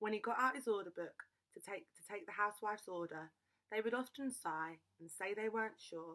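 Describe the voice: Lively intonation runs through this plain reading aloud, set against a quiet background.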